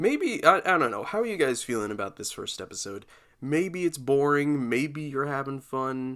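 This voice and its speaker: A man's bright, sharp tone, with lively intonation and big swings in loudness. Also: fairly high pitch for a man, moderate pace, very clean recording, silent background. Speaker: podcast host. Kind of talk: casual solo podcast talk. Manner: sounds depressed in normal speaking voice; rambling, halting.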